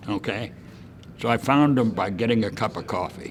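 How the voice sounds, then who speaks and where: A man speaks at a medium pitch with ordinary pitch variation and a moderate pace. There is noticeable background noise. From San Francisco. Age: 70s. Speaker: retired industry executive. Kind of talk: interview answer. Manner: casual storytelling.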